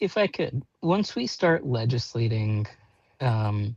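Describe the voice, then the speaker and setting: A man speaks in a medium pitch and sounds somewhat breathy. The sound is dry and close with no echo. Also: quiet background. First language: Portuguese. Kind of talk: panel discussion. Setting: live video stream. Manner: animated.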